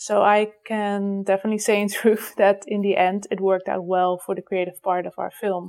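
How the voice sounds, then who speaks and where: A woman with a Dutch accent, medium pitch, fairly even intonation, and a moderate pace. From Netherlands. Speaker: animator. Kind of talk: voicemail message.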